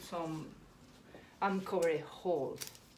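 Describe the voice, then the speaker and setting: A woman with a non-native accent speaks at a fairly slow pace in a fairly low voice with ordinary pitch variation, amid noticeable background noise and audible room echo. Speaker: florist. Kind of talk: tutorial. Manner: halting, self-correcting.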